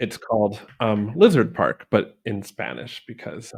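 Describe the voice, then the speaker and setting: A man speaks at medium pitch. Vocal fry runs through his voice. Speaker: podcast host. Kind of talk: casual chat.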